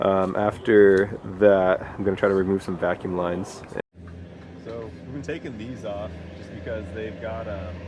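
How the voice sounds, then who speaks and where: A man speaks at a moderate pace with a fairly low pitch and fairly even intonation. His loudness swings widely, and there is noticeable background noise. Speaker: DIY car restorer. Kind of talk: casual tutorial vlog. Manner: casual, halting with many fillers.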